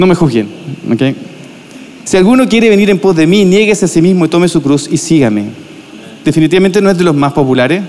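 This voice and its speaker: Noticeable background noise sits behind a man talking at a very fast pace with a high pitch and lively intonation. His loudness stays very even, broken by long, frequent pauses. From Chile, Viña del Mar. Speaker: pastor. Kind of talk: sermon. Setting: church.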